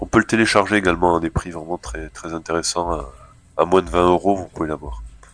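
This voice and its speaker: A man speaks at a fairly quick pace in a very deep, low pitch with vocal fry. His pitch variation is ordinary. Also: big swings in loudness. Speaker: video game reviewer. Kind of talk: gameplay commentary. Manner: casual, hesitant.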